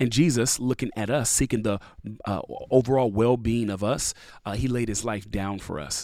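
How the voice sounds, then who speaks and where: A plain, everyday voice from a man at a moderate pace, with ordinary pitch variation, on a very clean recording with a silent background. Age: 30s. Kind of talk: casual interview.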